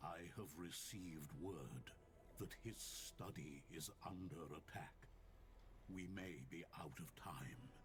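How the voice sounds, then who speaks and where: Over loud background noise, a man puts on a character voice with a very deep, low pitch, speaking at a fairly slow pace. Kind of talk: fantasy game narration. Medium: video game. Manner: solemn, earnest.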